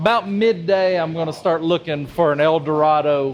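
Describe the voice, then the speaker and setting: A man speaks at a moderate pace with fairly high pitch and ordinary pitch variation, with noticeable background noise behind him. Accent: Southern US. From US South. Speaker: cigar enthusiast, podcast co-host. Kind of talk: casual chat. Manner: animated.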